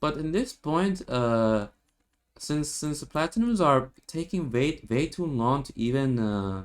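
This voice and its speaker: The speaker is a man. He talks with a non-native accent. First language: not English. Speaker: gaming youtuber. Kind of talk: game tutorial commentary. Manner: halting, many repetitions and fillers.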